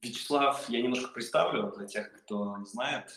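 A man keeps a moderate pace through his speech despite noticeable background noise. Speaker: podcast host, agency head. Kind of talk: podcast interview. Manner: animated.

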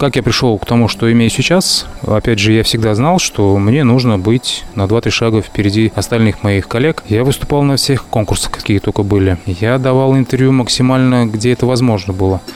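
Noticeable background noise sits behind a man speaking at a moderate pace with hardly any pauses. His pitch is medium with ordinary variation, and his loudness stays very even. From Uzbekistan, Tashkent. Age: 30s. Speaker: chef. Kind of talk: casual interview. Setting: in person.

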